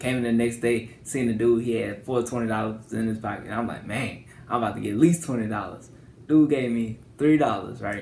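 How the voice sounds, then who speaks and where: Audible room echo fills this recording of a man. He talks at a fairly quick pace with a medium pitch and fairly even intonation. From northwest Louisiana, Shreveport. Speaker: YouTuber. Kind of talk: personal vlog monologue. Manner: talkative, casual.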